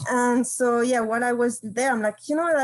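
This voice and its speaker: This voice has fairly even intonation and a French accent. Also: woman. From France, Brittany countryside. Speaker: campus farm coordinator. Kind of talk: panel discussion.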